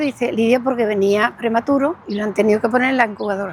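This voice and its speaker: This woman's delivery races along at a very fast pace, and her pitch varies in an ordinary way. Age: 70s. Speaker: association president, victim testifying. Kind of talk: testimony.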